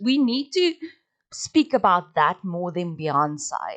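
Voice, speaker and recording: Speaking at a fairly slow pace, a woman has a strong South African accent. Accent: strong Afrikaans. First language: Afrikaans. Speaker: podcast host. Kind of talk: casual monologue. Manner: halting.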